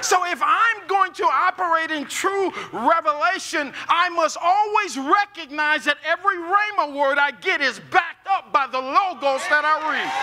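A man with an American accent speaks in a raised, projected voice at an extremely high pitch, keeping a moderate pace with hardly any pauses and ordinary pitch variation. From US Midwest, North St. Louis; Missouri. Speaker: pastor. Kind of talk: sermon. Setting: church with live audience. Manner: animated. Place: church.

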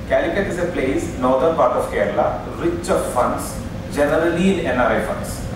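Strong room echo and noticeable background noise fill the recording. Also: man, moderate pace. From India. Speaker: session chairman and moderator. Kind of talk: conference session chairing. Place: hall.

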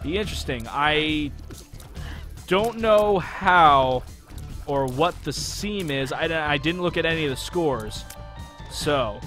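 A man at a very slow pace with long, frequent pauses and ordinary pitch variation, music playing in the background. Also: fairly high pitch for a man. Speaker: gaming commentator. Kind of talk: let's play commentary.

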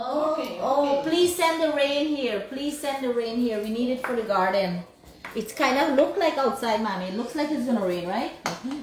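With lively intonation and a high pitch, a woman speaks at a moderate pace amid audible room echo and noticeable background noise. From Guyana. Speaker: cooking vlogger. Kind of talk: casual livestream chat while cooking. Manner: animated.

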